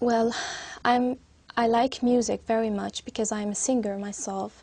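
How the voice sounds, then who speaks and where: A woman with an Arabic accent speaks at a moderate pace in a fairly high pitch. Her dark, mellow tone stays monotone and flat. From Syria. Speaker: English exam candidate. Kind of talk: speaking exam interview. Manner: halting, many hesitations.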